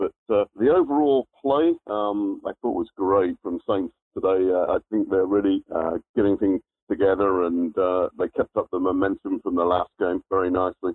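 An English accent comes through. The delivery is neither fast nor slow. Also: man. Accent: English accent, noted by the host. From southern England (near Southampton). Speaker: football fan caller. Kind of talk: casual phone chat. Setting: phone call.

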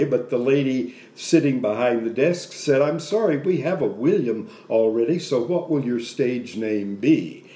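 There is a man speaking with an American accent in a dark, mellow tone. His pitch varies in an ordinary way, and audible room echo surrounds him. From Texas, Dallas (Oak Cliff). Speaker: actor. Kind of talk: casual chat.

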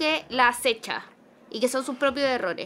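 In a Chilean accent, a woman speaks with a bright, sharp tone. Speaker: film podcast co-host. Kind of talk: casual film discussion.

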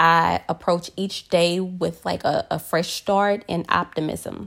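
A woman at a very slow pace with fairly even intonation, in a very clean recording over a silent background. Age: 30s. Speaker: solo podcaster and hairstylist. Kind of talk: personal monologue podcast.

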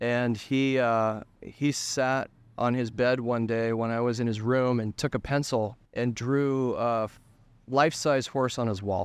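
A man with an unremarkable speaking voice talks at a medium pitch and a fairly slow pace, with an American accent and fairly even intonation over a quiet background. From Colorado, US. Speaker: photographer. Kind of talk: interview. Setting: hotel.

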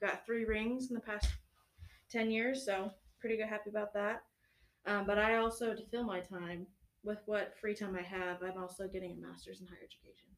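An unremarkable speaking voice from a woman, medium in pitch, at a fairly quick pace, with big swings in loudness. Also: fairly even intonation. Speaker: university recreation staff coordinator.

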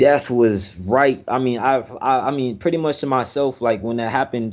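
An American accent marks this man's medium-pitched voice. His intonation is fairly even and his pace moderate. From Miami, Florida. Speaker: military service member. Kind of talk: casual interview chat. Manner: halting, many fillers and repetitions.

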